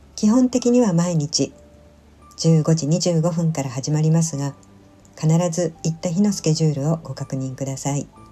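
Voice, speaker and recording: Music plays behind a woman who speaks at a fairly quick pace in a gentle tone with a fairly low pitch. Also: lively intonation. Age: 60s. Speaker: solo senior vlogger. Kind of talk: vlog voice-over narration. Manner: polite, gentle.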